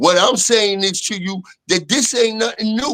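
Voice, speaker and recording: Using a raised, projected voice, a man speaks at a high pitch and moderate pace with a bright, sharp tone and ordinary pitch variation. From Brooklyn, New York. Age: 60s. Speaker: former street figure. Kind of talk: casual chat.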